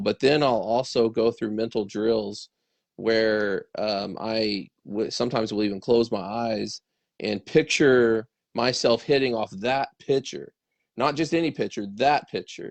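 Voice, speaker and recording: Against a quiet background, a man speaks fairly slowly in a plain, everyday voice, medium in pitch with ordinary pitch variation. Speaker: baseball training show host. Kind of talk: casual conversation.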